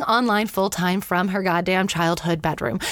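A woman talks in an animated tone. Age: 30s. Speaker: podcast host. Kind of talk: casual interview.

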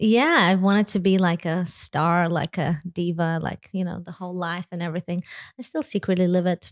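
In an American accent, a woman speaks at a moderate pace with a fairly low pitch and fairly even intonation, recorded very cleanly against a silent background with a dry, close sound with no echo. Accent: sounds American. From Lithuania. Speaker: church executive officer and musician. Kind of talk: interview conversation.

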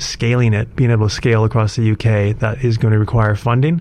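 Through noticeable background noise, a man with a Canadian accent talks at a medium pitch with fairly even intonation. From Canada, Alberta. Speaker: IT specialist and entrepreneur. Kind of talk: radio interview. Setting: radio studio.

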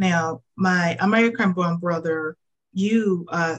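Her voice sits at a medium pitch, somewhat breathy, and the woman keeps her intonation fairly even. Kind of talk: hosted panel discussion ending in prayer. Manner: warm, encouraging.

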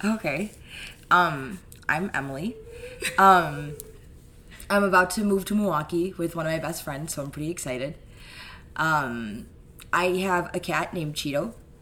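A woman with an American accent, fairly low in pitch with ordinary pitch variation, at a moderate pace with long, frequent pauses, over noticeable background noise. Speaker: podcast guest, host's sister. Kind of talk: casual chat.

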